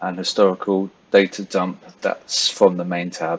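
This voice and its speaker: A man speaks at a fairly slow pace in a London accent. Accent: British, London-area. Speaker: forex trader. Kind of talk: tutorial. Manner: casual, with many fillers.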